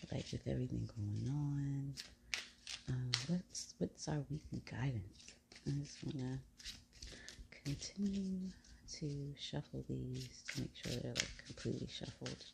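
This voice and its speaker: A woman speaks at a fairly slow pace. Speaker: tarot reader. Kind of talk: tarot reading to camera. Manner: quiet, trying not to wake others; casual, conversational.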